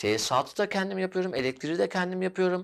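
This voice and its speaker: Talking at a very fast pace, a man with a high pitch swings his voice very widely. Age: 30s. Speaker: interior designer. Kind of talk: interview.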